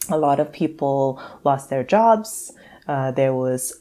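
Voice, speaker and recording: A woman's voice in a Trinidadian accent, fairly slow, with lively intonation. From Trinidad and Tobago. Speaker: psychologist and financial therapist. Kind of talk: podcast interview.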